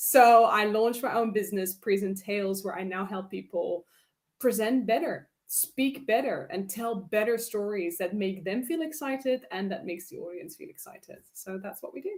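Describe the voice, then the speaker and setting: With a Dutch accent, a woman at a fairly high pitch talks at a moderate pace, with lively intonation and big swings in loudness. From Netherlands. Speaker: public speaking coach. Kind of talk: interview. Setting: live stream. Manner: animated.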